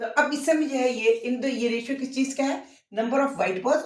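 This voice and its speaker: Her voice sits high, with pitch that rises and falls in a normal way. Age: 60s. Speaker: maths teacher. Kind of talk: tutorial.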